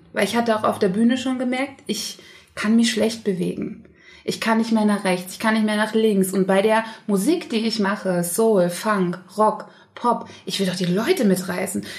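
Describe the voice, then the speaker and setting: At a moderate pace, a woman speaks in a Saxon accent with a fairly high, somewhat breathy voice. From Saxony, Leipzig. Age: 30s. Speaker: singer. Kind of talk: casual chat.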